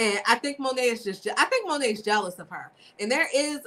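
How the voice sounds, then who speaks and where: A woman with a Baltimore accent, a bright, sharp tone and a moderate pace. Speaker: podcast co-host. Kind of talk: casual chat.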